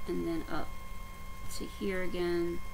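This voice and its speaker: Against noticeable background noise, a woman speaks with an American accent. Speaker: stitching vlogger. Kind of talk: casual vlog update. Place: home room. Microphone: webcam.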